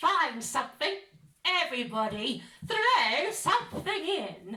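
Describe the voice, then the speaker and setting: A woman puts on a character voice, pitched high with very wide swings. She talks at a fairly slow pace. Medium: read story.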